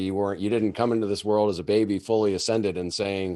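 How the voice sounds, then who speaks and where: In a very clean recording with a silent background, a man with an American accent speaks at a fairly quick pace, fairly low in pitch, in an unremarkable speaking voice. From Massachusetts. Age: 50s. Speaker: podcast host. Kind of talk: interview.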